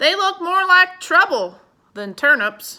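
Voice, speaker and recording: A woman's put-on character voice, extremely high-pitched and raised and projected, with very wide pitch swings at a fairly slow pace. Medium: read story. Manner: gentle, cautious.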